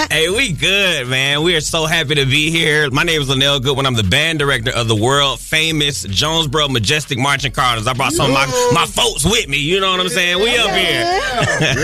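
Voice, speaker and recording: With music in the background, a man talks at a fairly quick pace with hardly any pauses, fairly high pitch, very even loudness and lively intonation. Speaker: high school band director; studio guest. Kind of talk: casual, conversational.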